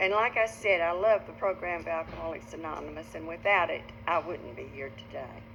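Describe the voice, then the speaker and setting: A woman speaks with an Arkansas accent at a fairly quick pace. Her loudness swings widely. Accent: Arkansas Southern. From northeastern Arkansas. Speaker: recovering alcoholic speaker. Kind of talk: testimony.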